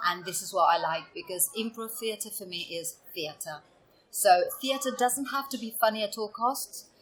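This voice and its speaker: A woman with an Italian accent, music playing in the background. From Italy, Venice region. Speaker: improv performer. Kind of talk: podcast interview. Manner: hesitant, many fillers.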